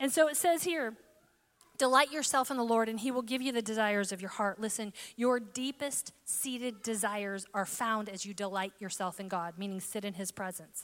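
A woman talks at a fairly quick pace in a normal speaking voice. Her medium pitch moves with ordinary variation. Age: 40s. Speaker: podcast host and preacher. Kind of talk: sermon. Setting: room with live audience.

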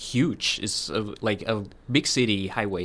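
A man talks very slowly in a very clean recording with a silent background. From Colombia, Medellin. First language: Spanish. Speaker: international student, former lawyer. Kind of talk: casual interview.

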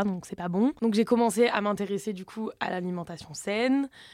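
A woman talks at a moderate pace with ordinary pitch variation. The recording is very clean, with a silent background. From southern France. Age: 20s. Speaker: social media content creator. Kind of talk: casual chat.

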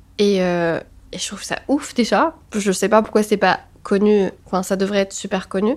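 In a normal speaking voice, a woman talks at a fairly slow pace with medium pitch and ordinary pitch variation. The recording is very clean with a silent background. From Tunisia, Tunis. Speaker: photographer. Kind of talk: casual interview chat.

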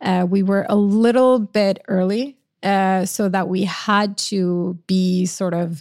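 A woman with a Norwegian accent speaks at a medium pitch with fairly even intonation. The recording is very clean, with a silent background. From Norway. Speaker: marketing executive. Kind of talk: interview conversation. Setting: studio.

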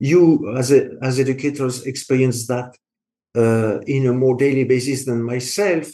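A speaker with a French accent talks at a moderate pace in a dark, mellow tone, keeping the intonation fairly even. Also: man, medium pitch for a man. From France. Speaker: engineering education specialist in industry. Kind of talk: interview. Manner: halting.

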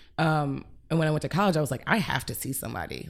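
Very fast and very deep, a woman's low voice comes through with vocal fry. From Cleveland, Ohio. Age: 30s. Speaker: comedian and artist. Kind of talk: casual chat. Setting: home apartment recording.

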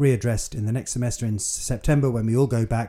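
A man's very fast British accent, medium in pitch and fairly even in intonation, somewhat breathy with a dark, mellow tone, on a very clean recording against a silent background. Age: 60s. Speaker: mature university student and podcaster. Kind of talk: solo monologue podcast.

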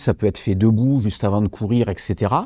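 A man talks at a fairly quick pace with a dark, mellow tone. The sound is dry and close with no echo, over a quiet background. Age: 40s. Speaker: martial arts champion and fitness author. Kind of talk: educational interview.

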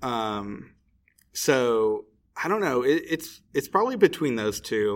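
Speaking very slowly with an American accent, a man keeps a medium pitch and lively intonation on a very clean recording with a silent background. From Indianapolis, Indiana, US Midwest. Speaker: podcast co-host and card game player. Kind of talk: casual chat.

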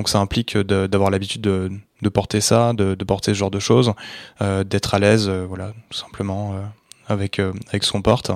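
With monotone, flat intonation, the man delivers his words at a moderate pace. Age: 20s. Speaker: second-hand menswear seller. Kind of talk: interview. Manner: halting.

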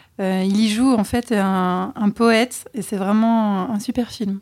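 With an ordinary speaking voice, a woman talks at a fairly high pitch in fairly even intonation. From French Alps. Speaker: podcast co-host. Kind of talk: casual chat.

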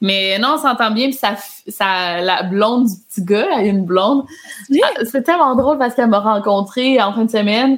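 A woman speaks in a normal speaking voice at a fairly high pitch. Her pace is moderate and her pitch varies in an ordinary way. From Quebec. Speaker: YouTuber and author. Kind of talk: casual chat.

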